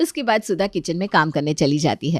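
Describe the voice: On a very clean recording with a silent background, a woman talks at a fairly quick pace. Her slightly mellow tone carries ordinary pitch variation in a dry, close sound with no echo.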